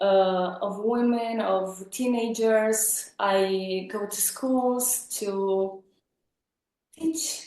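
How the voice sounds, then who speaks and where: A woman with a Romanian accent. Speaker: psychologist. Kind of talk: casual interview chat. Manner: halting, with fillers.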